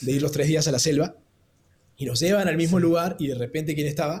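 A man's somewhat breathy voice at a fairly high pitch. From Argentina, Córdoba. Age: 20s. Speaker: podcast guest sharing travel experience. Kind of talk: casual storytelling interview.

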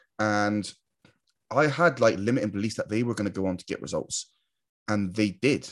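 In a British accent, a man speaks at a moderate pace and a fairly low pitch, with ordinary pitch variation and long, frequent pauses. The recording is very clean, with a silent background. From UK. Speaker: online marketer and YouTuber. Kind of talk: monologue to camera. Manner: casual, filler-heavy.

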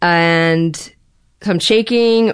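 The speaker has an American accent and a shaky voice with fairly even intonation. The background is quiet. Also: woman. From Los Angeles, California. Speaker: podcast guest. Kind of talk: personal interview.

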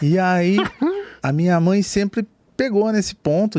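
Recorded very cleanly against a silent background, a man with an interior Brazilian accent speaks in a dark, mellow tone. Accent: rolled interior Brazilian R's. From interior of Brazil. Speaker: craft brewery founder. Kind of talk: casual chat.

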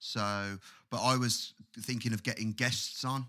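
With an English accent, a man speaks at a fairly low pitch in a bright, sharp tone and fairly even intonation. The recording is very clean, with a silent background. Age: 20s. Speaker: podcast co-host and guitarist. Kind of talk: casual chat.

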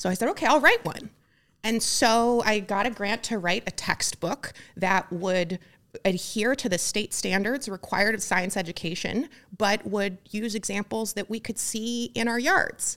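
In a Midwestern accent, a woman talks at a moderate pace with a fairly high pitch and ordinary pitch variation. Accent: General American (Midwest). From US Midwest (rural Ohio). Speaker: tech startup founder. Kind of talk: podcast interview. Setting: studio.

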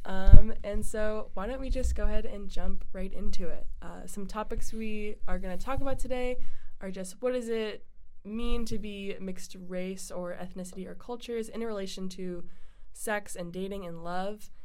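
In a plain, everyday voice, a woman speaks at a medium pitch and moderate pace, with fairly even intonation and big swings in loudness. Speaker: college podcast host. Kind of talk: casual chat.

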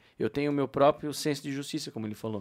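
On a very clean recording with a silent background, a man speaks with a fairly high pitch. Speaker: podcast co-host. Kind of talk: casual chat.

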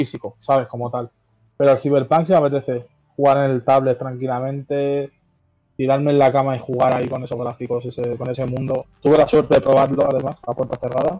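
Speaking at a very fast pace, a man keeps a monotone, flat intonation throughout. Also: medium pitch for a man. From Madrid, Spain (Parla). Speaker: freestyle rapper. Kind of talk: casual chat. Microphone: poor microphone sound.

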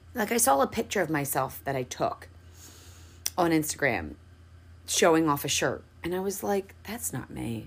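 A woman's very deep, low voice at a moderate pace, with vocal fry, very wide pitch swings, and long, frequent pauses. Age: 30s. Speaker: podcast host and hairstylist. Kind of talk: motivational monologue. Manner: casual, chatty.

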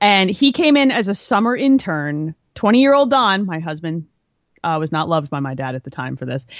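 A woman with an American accent speaks fairly quickly at a fairly low pitch. Her voice shows very wide pitch swings and big swings in loudness. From New Jersey, near Philadelphia. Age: 30s. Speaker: engineer and gamer. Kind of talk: casual chat. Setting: video call.

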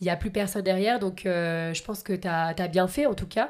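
A woman speaks in a normal speaking voice with medium pitch. Her pitch variation is ordinary. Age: 20s. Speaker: podcast host. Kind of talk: interview.

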